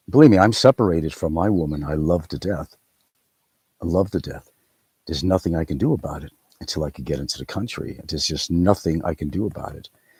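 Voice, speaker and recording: This man talks very fast in a very deep, low voice that is somewhat breathy, with a dark, mellow tone and ordinary pitch variation. His loudness swings widely, and the sound is dry and close with no echo. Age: 60s. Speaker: YouTube commentator. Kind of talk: live stream monologue. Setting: outdoors.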